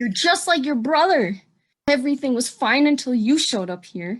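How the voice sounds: A woman speaks at a moderate pace in a put-on character voice, pitched high with big swings. Her voice carries a slightly husky edge.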